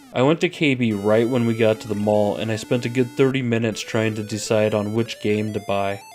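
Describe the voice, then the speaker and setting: A man speaks at a medium pitch with ordinary pitch variation, moving at a fairly quick pace with hardly any pauses. Music plays in the background. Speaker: retro game reviewer. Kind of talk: scripted narration.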